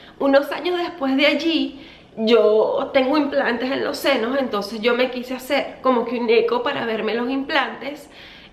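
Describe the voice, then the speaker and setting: Over noticeable background noise, a woman speaks at a high pitch with hardly any pauses. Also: ordinary pitch variation, moderate pace. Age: 30s. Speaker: beauty vlogger. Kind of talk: storytime vlog. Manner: casual, chatty.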